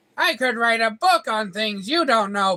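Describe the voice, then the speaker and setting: The pitch is fairly high. The voice is a put-on character voice. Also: moderate pace. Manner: haughty, scornful.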